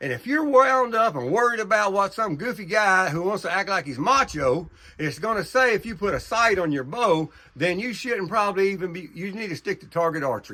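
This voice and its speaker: A man speaks in a raised, projected voice with a bright, sharp tone and high pitch. His intonation is lively, with an American accent. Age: 70s. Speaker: hunter. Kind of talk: casual talk to camera about bowhunting. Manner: repetitive, with hesitations.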